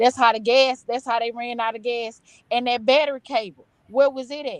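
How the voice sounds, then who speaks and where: This woman's voice is loud and high-pitched, with monotone, flat intonation. She keeps a moderate pace. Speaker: panel guest. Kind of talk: casual panel discussion.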